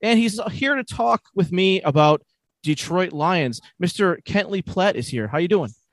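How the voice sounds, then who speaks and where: Speaking at a fairly slow pace, a man with a high pitch makes very wide pitch swings in a dry, close sound with no echo. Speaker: podcast host. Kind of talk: casual interview.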